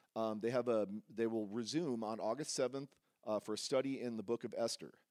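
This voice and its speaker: A man speaks at a medium pitch. He has an ordinary speaking voice. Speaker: church announcer. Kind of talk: church announcements. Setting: church.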